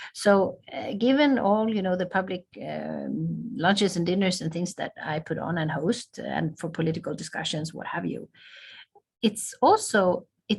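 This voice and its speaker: A woman with a Swedish accent at a moderate pace. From southern Sweden. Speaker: ambassador. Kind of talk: interview. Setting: video call.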